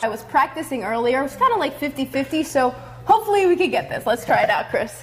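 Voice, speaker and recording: There is noticeable background noise. Over it, a woman speaks at a high pitch. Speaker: sports anchor and reporter. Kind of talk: sports news reporting and anchoring.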